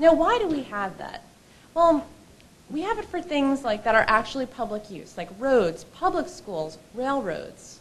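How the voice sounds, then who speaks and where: Noticeable background noise sits behind a woman's high voice at a fairly slow pace. Her pitch swings very widely, and her loudness swings a lot too. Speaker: lawyer at a legal advocacy group. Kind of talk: conference presentation. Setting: stage with audience.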